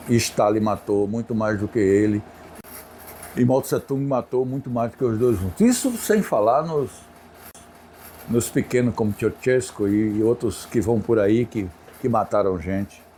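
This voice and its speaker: A man's dark, mellow voice moves at a moderate pace, its pitch varying in an ordinary way. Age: 70s. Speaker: interviewee on politics. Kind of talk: interview. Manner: conversational, hesitant fillers.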